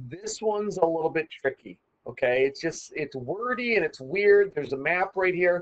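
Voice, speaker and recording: A man with a Midwestern accent, high pitch, lively intonation and a moderate pace. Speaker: math teacher. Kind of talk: tutorial. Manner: casual, conversational.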